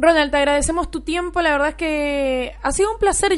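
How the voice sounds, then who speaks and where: A woman with a high pitch, ordinary pitch variation, and a very fast pace. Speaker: sports radio host. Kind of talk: casual chat.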